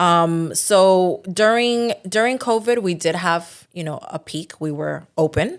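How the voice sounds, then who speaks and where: A woman with a New Jersey accent speaks at medium pitch and a very slow pace, with ordinary pitch variation and hardly any pauses. The recording is very clean, with a silent background. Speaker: title agency owner. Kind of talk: podcast interview.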